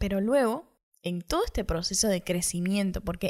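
This woman has a plain, everyday voice at a medium pitch, with lively intonation and a moderate pace. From Cuba. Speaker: podcaster. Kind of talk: personal monologue.

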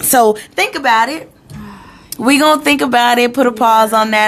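Ordinary pitch variation marks a plain, everyday voice that keeps a moderate pace. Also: woman. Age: 30s. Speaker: podcast co-host. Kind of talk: casual chat.

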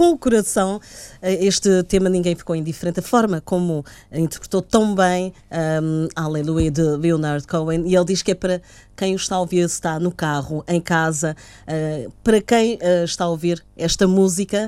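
A woman's fairly low, dark and mellow voice, fairly even in intonation, at a fairly quick pace. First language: Portuguese. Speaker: radio host. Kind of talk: radio interview with live translation. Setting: studio.

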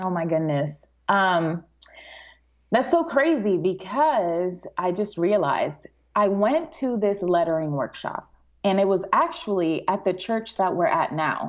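With lively intonation and an American accent, a plain, everyday voice moves at a fairly slow pace. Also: woman, medium pitch for a woman. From Dominican Republic, then New York. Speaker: calligraphy artist and teacher. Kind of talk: casual interview chat.

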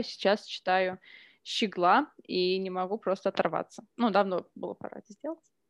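Speaking fairly quickly, a woman has an ordinary speaking voice at a medium pitch. Her intonation stays fairly even. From Russia, Omsk and Ryazan. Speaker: editor and author. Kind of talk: casual chat. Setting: home kitchen.

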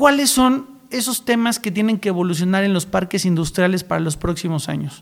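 A man talks at a fairly quick pace with a high pitch. His intonation is lively. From Mexico, San Luis Potosí. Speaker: podcast host, regional initiative founder. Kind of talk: interview.

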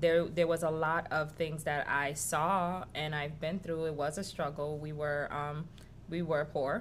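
In a room with audible echo, a woman with an American accent speaks in a flat monotone at a very deep, low pitch and a fairly slow pace. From New York City (Washington Heights), Haitian-born. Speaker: restaurant co-owner. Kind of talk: interview.

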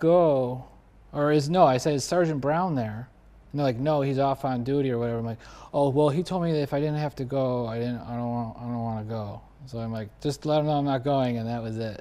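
An unremarkable speaking voice with an American accent moves at a fairly quick pace. Its pitch variation is ordinary. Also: man. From US Northeast (Buffalo, New York). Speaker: podcast host and actor. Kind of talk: casual chat.

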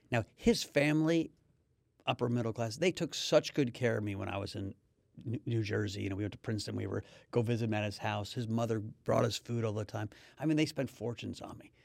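Very fast and at medium pitch, a man talks with ordinary pitch variation and vocal fry, the recording very clean, dry and close, with no echo and a silent background. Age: 50s. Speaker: podcast host. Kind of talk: casual chat.

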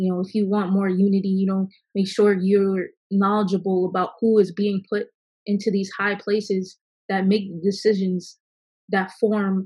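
Somewhat breathy, a woman with an American accent speaks at a fairly slow pace in a monotone, flat intonation. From Virginia. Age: young. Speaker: recording engineer and music artist. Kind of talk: group discussion.

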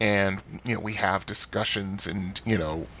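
A man at a fairly low pitch and fairly slow pace, with ordinary pitch variation and noticeable background noise. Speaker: podcast host. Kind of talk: solo podcast monologue. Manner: halting, many filler words.

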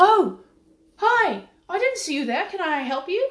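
In a put-on character voice, the speaker uses an extremely high pitch with very wide pitch swings at a moderate pace. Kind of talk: polite customer service voice.

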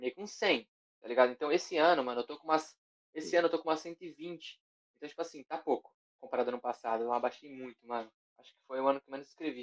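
A man talks at a very fast pace in a fairly high voice. His loudness swings a lot. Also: ordinary pitch variation. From Guarulhos, São Paulo, Brazil. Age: young. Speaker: rapper. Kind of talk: casual chat.

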